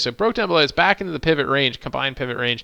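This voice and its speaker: Speaking very fast, a man has a fairly high pitch. His tone is bright and sharp. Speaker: day trading educator and live streamer. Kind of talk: live stream chart analysis with viewer Q&A. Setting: live stream. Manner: casual, many fillers.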